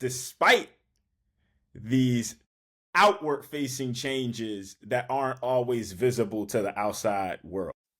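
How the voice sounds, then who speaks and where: In a very clean recording with a silent background, a man speaks at a very slow pace in an American accent. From Philadelphia, US. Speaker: podcast host. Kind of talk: interview conversation.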